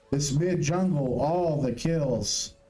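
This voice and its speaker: Noticeable background noise sits behind a man as he talks. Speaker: esports commentator. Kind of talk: live commentary.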